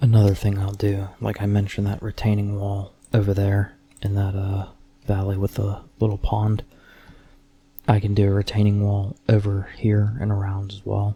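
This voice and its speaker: Soft-spoken and somewhat breathy, a man talks at a moderate pace in a fairly low, dark, mellow voice with a relaxed tone and monotone, flat intonation. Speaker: ASMR content creator / Minecraft player. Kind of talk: ASMR Minecraft commentary, casual talk to camera. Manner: soft-spoken, relaxed.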